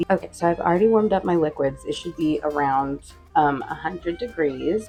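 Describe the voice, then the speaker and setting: A woman's fairly low-pitched voice is heard while music plays behind her. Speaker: home baker. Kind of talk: casual cooking tutorial. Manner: casual, hesitant.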